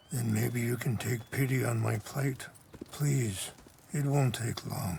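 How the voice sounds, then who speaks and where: Putting on a character voice, a man speaks at a fairly slow pace in a raspy voice at medium pitch. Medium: video game. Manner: soft-spoken, measured, reflective.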